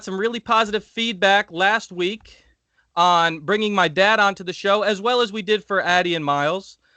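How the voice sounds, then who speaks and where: A man's high, raised, projected voice at a fairly quick pace, bright and sharp in tone and animated, with a dry, close sound with no echo over a quiet background. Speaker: podcast co-host. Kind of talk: casual chat.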